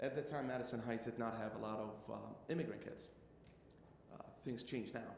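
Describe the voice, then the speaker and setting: Medium in pitch, a man speaks at a fairly quick pace with fairly even intonation, broken by long, frequent pauses. Audible room echo and noticeable background noise surround his voice. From Iraq, moved to Michigan at 13. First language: Arabic. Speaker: immigrant student consultant. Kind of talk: public comment testimony. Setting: public board meeting. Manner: halting.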